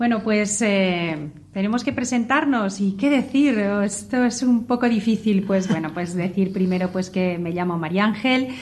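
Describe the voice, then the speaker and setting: A woman at medium pitch, somewhat breathy, with ordinary pitch variation and a fairly slow pace. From Spain, Zamora. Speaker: vocational school teacher and mother. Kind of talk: radio panel conversation.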